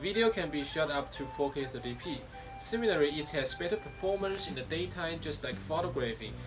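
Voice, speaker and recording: There is music in the background. A man with a Taiwanese accent speaks at a fairly high pitch. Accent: Taiwanese Mandarin. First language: Mandarin. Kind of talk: tech review talk to camera.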